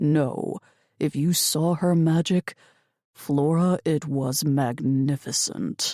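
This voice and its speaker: A woman puts on a character voice, rumbling very slowly at a very deep, low pitch, on a very clean recording with a silent background. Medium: read story. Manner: hushed and intense.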